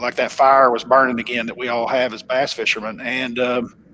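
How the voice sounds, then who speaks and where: This man has a strong Oklahoma accent. He talks at a fairly quick pace. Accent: thick Oklahoma. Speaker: professional bass angler. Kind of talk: casual interview chat. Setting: home office, live stream call.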